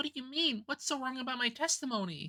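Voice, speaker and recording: In a put-on character voice, the speaker talks at a very fast pace with a high pitch. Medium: game stream.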